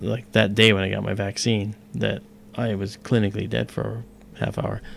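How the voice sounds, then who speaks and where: Speaking at a fairly quick pace, a man with a fairly low pitch shows vocal fry. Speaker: astronomy livestream host. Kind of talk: casual chat. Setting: live stream.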